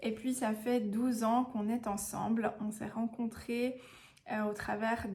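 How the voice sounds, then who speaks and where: This woman's voice is fairly high in pitch, with monotone, flat intonation. She speaks at a fairly slow pace. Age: 30s. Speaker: vlogger, mother. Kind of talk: personal storytelling vlog. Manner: casual, hesitant with frequent fillers.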